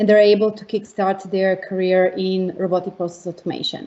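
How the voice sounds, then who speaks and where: A woman is speaking. She has a Montenegrin accent. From Montenegro. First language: Montenegrin/Serbian. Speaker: tech education team leader. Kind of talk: panel introduction.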